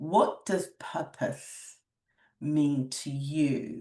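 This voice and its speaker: A woman speaks with a very deep, low pitch and a dark, mellow tone. Her intonation is fairly even against a quiet background. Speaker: podcast host. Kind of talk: interview host conversation.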